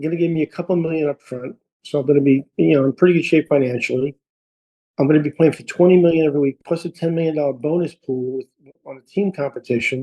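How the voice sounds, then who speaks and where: With an American accent, a man talks very fast at a fairly high pitch. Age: 60s. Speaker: golf instructor. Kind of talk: casual chat. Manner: animated.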